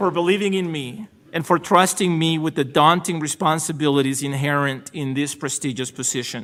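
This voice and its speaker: This man speaks with a Salvadoran accent in a fairly high pitch with ordinary variation. He barely pauses, and the recording is very clean with a silent background. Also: moderate pace. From El Salvador. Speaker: supreme court justice. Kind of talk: ceremonial acceptance speech. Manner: formal.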